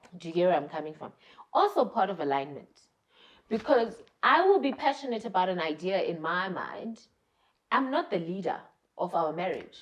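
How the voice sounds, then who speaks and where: A loud, animated woman's voice of medium pitch, with very wide pitch swings, a moderate pace, and long, frequent pauses. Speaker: married couple podcast co-host. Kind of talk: casual chat.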